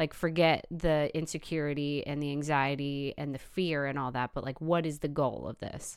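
A woman's very deep, low voice, flat and monotone, at a moderate pace with hardly any pauses, in a very clean recording over a silent background. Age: 20s. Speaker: Instagram influencer. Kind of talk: casual chat. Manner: laughs often.

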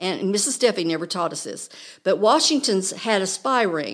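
A woman speaks with an American accent in a normal speaking voice at a medium pitch. The recording is very clean, with a silent background. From Oklahoma. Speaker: guest presenter. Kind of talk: educational chat. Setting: studio.

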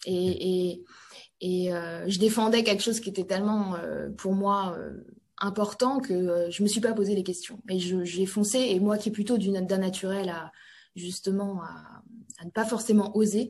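At a fairly slow pace, a woman speaks with medium pitch and monotone, flat intonation. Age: 30s. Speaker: industrial company CEO. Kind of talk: interview.

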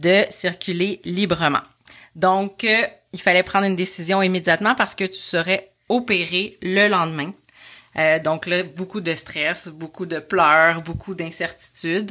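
A woman talks at a very slow pace with fairly even intonation. Her tone is bright and sharp. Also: medium pitch for a woman. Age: 30s. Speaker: mother of a child with hydrocephalus. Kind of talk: personal testimony told to her son.

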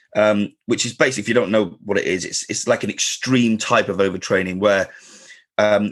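The pace is fast. There is a slightly husky edge to the voice. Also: man.

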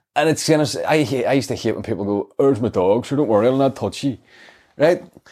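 With a Northern Irish accent, this man talks very fast at a medium pitch, his intonation lively. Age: 40s. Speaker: comedian. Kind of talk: casual chat.

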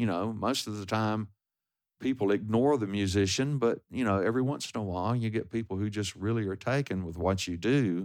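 With a Texan accent, a man with fairly low pitch talks at a fairly quick pace with ordinary pitch variation. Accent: Texan American. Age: 70s. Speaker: singer-songwriter and guitarist. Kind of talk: interview. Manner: halting.

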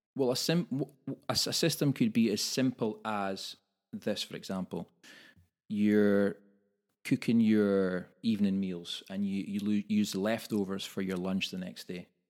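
Someone with a Scottish accent talks at a fairly slow pace on a very clean recording with a silent background. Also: man, fairly low pitch for a man, ordinary pitch variation. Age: 40s. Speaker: personal trainer and podcast co-host. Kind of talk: casual chat. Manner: halting, repeats words.

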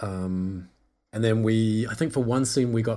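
The voice has a dark, mellow tone and a New Zealand accent, moving at a fairly slow pace. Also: man. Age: young. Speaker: film composer. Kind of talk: casual chat.

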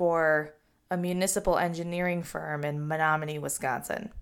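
In a normal speaking voice, a woman with a fairly low pitch speaks with fairly even intonation. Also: very clean recording, silent background. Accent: American. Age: 30s. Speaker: podcast host, social media professional. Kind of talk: solo podcast monologue.

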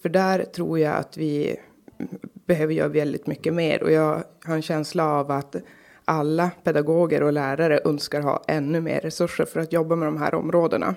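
Moderate pace and fairly even intonation on a very clean recording with a silent background. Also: woman, very deep, low pitch for a woman. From Norrbotten, northern Sweden (Karlsborg near Kalix). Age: 30s. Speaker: local politician. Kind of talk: interview.

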